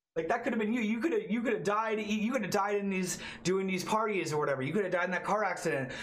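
This man has a Canadian accent, a high pitch, ordinary pitch variation and an enthusiastic tone, speaking at a very fast pace with hardly any pauses. His loudness stays very even, and there is noticeable background noise. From Toronto, Canada. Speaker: podcast host, wheelchair user. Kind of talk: casual interview chat. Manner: casual, profane, enthusiastic.

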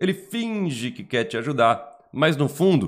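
This man has a Brazilian accent and a high pitch. He talks at a fairly slow pace in an animated tone. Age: 40s. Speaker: Umbanda teacher and YouTuber. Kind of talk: online lesson.

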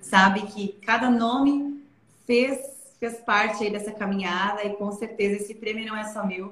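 A woman's medium-pitched voice with fairly even intonation, against noticeable background noise. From southern Brazil, Santa Catarina interior (Aurora). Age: 20s. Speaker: investment advisor. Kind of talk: interview. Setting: live stream.

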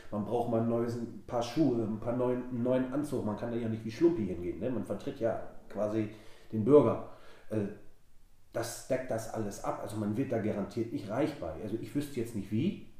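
In a room with audible echo, a man with a medium pitch speaks at a moderate pace in a dark, mellow, somewhat breathy voice with ordinary pitch variation. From Wilhelmshaven, northern Germany. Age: 20s. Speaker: local council candidate, party official. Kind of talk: casual interview.

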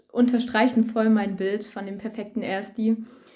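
A woman's fairly high yet dark, mellow voice, fairly slow, with fairly even intonation. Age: young. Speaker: first-year student. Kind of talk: casual chat.

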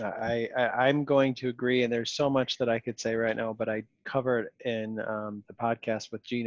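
With a Western New York accent, a man speaks at a medium pitch in monotone, flat intonation, with a dry, close sound with no echo and a quiet background. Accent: Western New York (Inland North). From Rochester, New York. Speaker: podcast host. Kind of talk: casual interview chat. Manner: fast when worked up.

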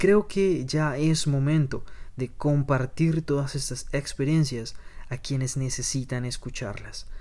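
This man has a normal speaking voice, pitched fairly high, with lively intonation. He talks at a fairly slow pace. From Colombia. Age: 20s. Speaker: podcast host. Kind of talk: podcast monologue.

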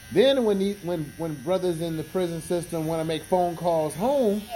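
A high-pitched male voice at a moderate pace, with ordinary pitch variation and noticeable background noise. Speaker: podcast host. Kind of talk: casual chat. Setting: barbershop. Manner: relaxed; higher pitched at times.

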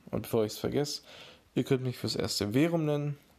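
A man is talking. His pitch shows ordinary variation. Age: 20s. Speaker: podcast host and beat producer. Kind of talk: casual solo podcast intro.

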